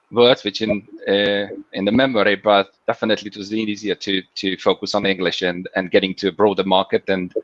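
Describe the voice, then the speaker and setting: Speaking at a fairly quick pace with a Hungarian accent, a man keeps a monotone, flat intonation in a dry sound with no echo. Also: fairly low pitch for a man. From Hungary. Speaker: FinOps engineer. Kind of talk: interview. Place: home room. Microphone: video call.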